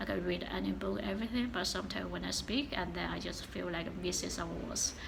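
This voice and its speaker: Speaking very fast, a woman's voice comes through noticeable background noise and audible room echo. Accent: strong Chinese. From China. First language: Chinese. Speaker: vlogger. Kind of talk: casual vlog talk. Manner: halting, many fillers.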